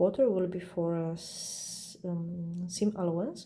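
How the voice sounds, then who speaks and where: A voice with a non-native accent and ordinary pitch variation. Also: woman. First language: not English. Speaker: quilting instructor. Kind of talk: tutorial. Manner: halting.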